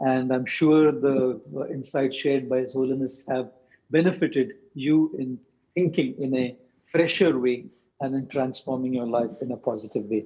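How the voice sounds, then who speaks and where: Speaking in an Indian accent, a man with a medium pitch and a dark, mellow tone keeps a moderate pace and ordinary pitch variation. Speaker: monk and motivational speaker. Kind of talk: interview closing remarks. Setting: video call. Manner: formal.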